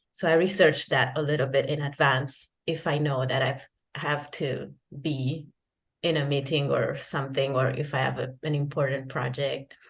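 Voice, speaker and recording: A woman's somewhat breathy voice with an Italian accent, very deep and low in pitch, monotone and flat, at a moderate pace. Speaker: freelance translator and digital nomad. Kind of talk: interview. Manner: halting, many restarts and fillers.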